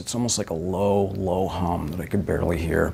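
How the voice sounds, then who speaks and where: Moderate-paced male speech against noticeable background noise. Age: 50s. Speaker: eyewitness interviewee. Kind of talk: interview testimony.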